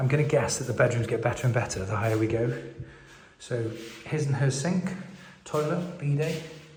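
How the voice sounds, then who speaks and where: Whispering at a fairly quick pace with long, frequent pauses, a man is heard amid audible room echo and noticeable background noise. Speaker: property vlogger and hotel owner. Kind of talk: walkthrough video tour. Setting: inside an abandoned hotel. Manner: whispering to avoid echo.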